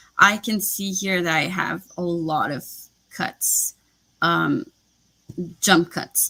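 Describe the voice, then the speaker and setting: Pausing long and often at a very slow pace, a woman with a French Canadian accent speaks at a fairly low pitch in a bright, sharp tone with ordinary pitch variation. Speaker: booktuber. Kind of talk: live stream chat.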